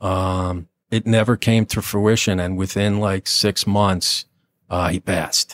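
Very slow pace, fairly even intonation, dry and close sound with no echo, very clean recording with a silent background. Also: man. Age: 50s. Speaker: retired police lieutenant. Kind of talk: interview testimony. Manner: halting.

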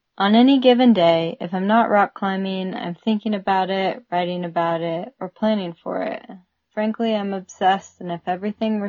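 The pace is moderate. It's a plain, everyday voice. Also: woman. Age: 30s. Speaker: climber and podcast co-founder. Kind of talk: reading aloud.

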